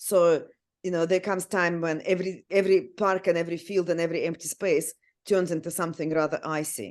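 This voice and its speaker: A woman with a Russian accent and a fairly low pitch at a moderate pace, over a quiet background. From Siberia, Russia. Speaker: sex and relationship counsellor, amateur ice hockey player. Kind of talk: podcast interview.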